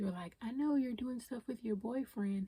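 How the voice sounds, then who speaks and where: A woman's voice comes across somewhat breathy, with a dark, mellow tone. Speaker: podcast host. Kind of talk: unscripted personal podcast talk. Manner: emotional; casual, conversational.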